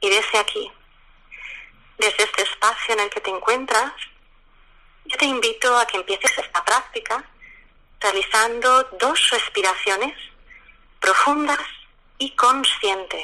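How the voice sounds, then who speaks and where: Her high-pitched voice has lively intonation as the woman talks at a fairly slow pace with long, frequent pauses. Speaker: lawyer and mindfulness teacher. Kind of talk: guided meditation.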